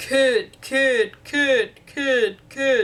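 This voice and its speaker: The speaker puts on a character voice with a high pitch. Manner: booming repetitive.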